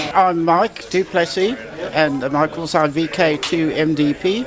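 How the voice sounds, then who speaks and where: A high-pitched man uses ordinary pitch variation as noticeable background noise carries on behind him. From South Africa. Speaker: radio club vice president. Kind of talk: self-introduction.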